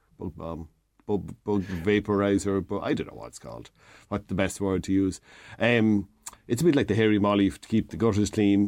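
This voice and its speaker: A man with an Irish Midlands accent and a fairly low pitch. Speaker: DIY expert. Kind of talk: casual radio chat, DIY advice. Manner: friendly, joking.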